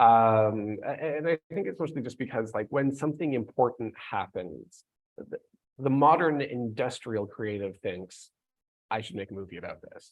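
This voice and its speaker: Delivered at a moderate pace, an unremarkable speaking voice rises and falls with lively intonation and big swings in loudness. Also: man, medium pitch for a man. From Canada. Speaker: author and podcast co-host. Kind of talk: live panel discussion.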